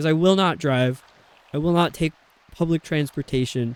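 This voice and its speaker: With an American accent, a man talks at a fairly quick pace at a fairly high pitch with ordinary pitch variation, the sound dry and close with no echo. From upstate New York. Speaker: game streamer. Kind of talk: casual chat. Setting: live stream.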